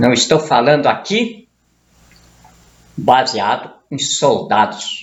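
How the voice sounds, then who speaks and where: A man speaks very slowly at a fairly high pitch, with long, frequent pauses. His pitch swings very widely. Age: 70s. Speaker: political commentator. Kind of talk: political monologue. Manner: heated.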